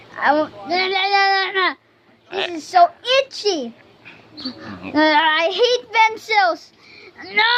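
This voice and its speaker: Speaking in a put-on character voice, this extremely high-pitched speaker goes at a very slow pace with long, frequent pauses. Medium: voice reel. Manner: whiny, complaining.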